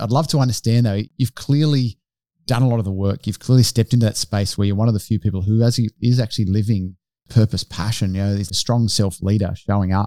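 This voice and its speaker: Talking at a very fast pace with an Australian accent, a man has a dark, mellow tone, fairly low pitch and fairly even intonation, captured as a dry, close sound with no echo on a very clean recording with a silent background. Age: 40s. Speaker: podcast co-host. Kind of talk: casual interview.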